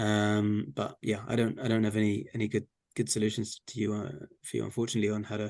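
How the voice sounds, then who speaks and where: Speaking very fast with an English accent, a man uses a fairly low pitch and fairly even intonation. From England. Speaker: regional energy and climate official. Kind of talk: Q&A at an online community talk. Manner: hesitant, repeats words.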